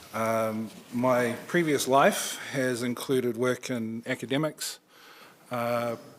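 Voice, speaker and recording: A man with a New Zealand accent talks at a medium pitch with fairly even intonation. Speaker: nonprofit regional director. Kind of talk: presentation. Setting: council chambers.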